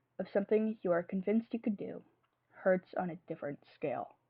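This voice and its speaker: A woman with lively intonation, at a moderate pace. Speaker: streamer. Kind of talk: fan fiction reading.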